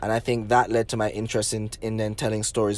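Speaking very fast with a Jamaican accent, a man uses a fairly low pitch. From Jamaica, Negril, Westmoreland. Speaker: filmmaker. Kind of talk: interview.

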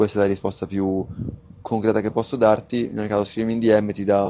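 Talking at a very fast pace, a man with a fairly low-pitched voice and a dark, mellow tone is heard over light background noise. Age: 20s. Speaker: online business coach. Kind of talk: live stream Q&A. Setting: live stream. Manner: animated.

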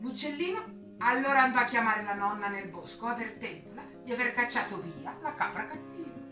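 With clear music in the background and audible room echo, a woman speaks at a fairly quick pace and fairly high pitch with lively intonation.

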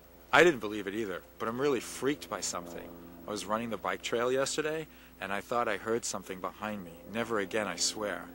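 Over noticeable background noise, a man with a bright, sharp tone and a fairly low pitch speaks at a moderate pace with ordinary pitch variation, the sound dry with no echo. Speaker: actor in short film. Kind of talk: acted dialogue. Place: street.

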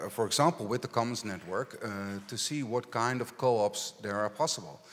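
A man speaks in a Dutch accent. His pace is moderate. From Netherlands. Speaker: local politician. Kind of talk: panel discussion. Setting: stage with audience. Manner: halting. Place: stage. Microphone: handheld.

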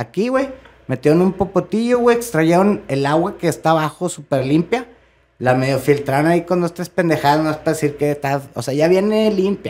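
The pace is moderate. The intonation is lively. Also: man, fairly high pitch for a man. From Monterrey, northern Mexico; Mexico. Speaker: rock drummer; podcast guest. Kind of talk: casual chat. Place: studio. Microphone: studio mic.

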